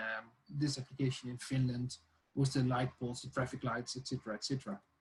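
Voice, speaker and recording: A man's somewhat breathy voice comes with monotone, flat intonation. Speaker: lecturer. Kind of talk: online tutorial lecture. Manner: hesitant, many fillers.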